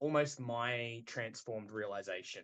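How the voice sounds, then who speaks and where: A man with an Australian accent, at a moderate pace and with ordinary pitch variation. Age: 30s. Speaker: metal band vocalist. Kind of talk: podcast interview. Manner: halting.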